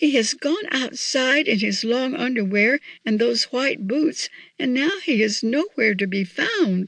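A woman speaks slowly in a put-on character voice, fairly high-pitched and laced with vocal fry. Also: lively intonation, fairly bright tone.

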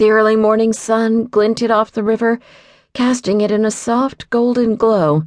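Over a quiet background, a woman speaks in a dramatic tone at a fairly high pitch. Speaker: audiobook narrator. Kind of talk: audiobook narration of a romance novel, read aloud. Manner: dramatic, expressive narration with wry, sassy tone; steady, suspenseful pacing that builds anticipation before a sudden stop.

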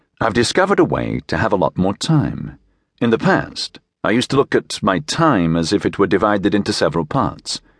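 A man's fairly quick, calm, gentle voice with vocal fry, very wide pitch swings and very even loudness, dry and close with no echo against a quiet background. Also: fairly low pitch for a man. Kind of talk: audiobook narration, reading a memoir-style essay aloud. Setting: studio. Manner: measured, calm, steady reading with gentle storytelling pacing.

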